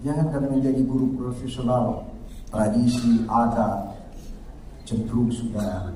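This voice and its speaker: With audible room echo, a man speaks at a moderate pace and medium pitch. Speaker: university rector giving speech. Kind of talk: ceremonial speech / academic oration. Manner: animated, conversational.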